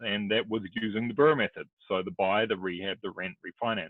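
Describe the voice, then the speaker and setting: The speaker has a New Zealand accent and keeps a moderate pace. Pitch variation is ordinary. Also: man. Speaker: real estate investor and broker. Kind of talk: podcast interview.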